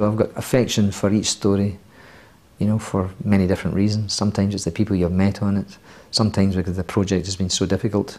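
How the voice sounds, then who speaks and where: Talking at a very fast pace, a man with a fairly low pitch and a dark, mellow tone keeps a monotone, flat intonation. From Scotland. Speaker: screenwriter. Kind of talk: interview.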